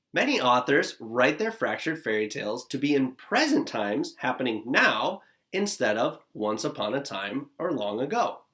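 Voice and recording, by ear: This man's voice sits at a medium pitch with a fairly bright tone and a slightly husky edge. He talks at a moderate pace, his pitch swinging widely.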